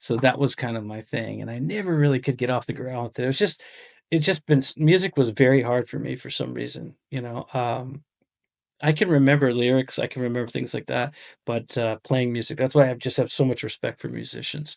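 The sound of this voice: This man has a medium pitch for a man and a raspy voice with vocal fry. He talks at a fairly quick pace with lively intonation.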